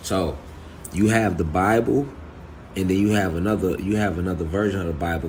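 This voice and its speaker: Soft-spoken, a man talks in a very deep, low voice at a moderate pace. Audible room echo surrounds his voice. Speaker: spiritual teacher. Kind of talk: spiritual talk. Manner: halting.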